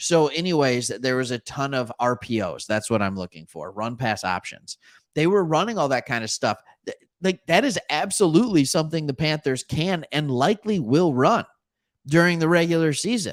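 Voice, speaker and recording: In a very clean recording with a silent background, a man's fairly high voice makes very wide pitch swings, the sound dry and close with no echo. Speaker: sports commentator. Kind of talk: casual solo commentary. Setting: live stream. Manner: halting, stumbles over words.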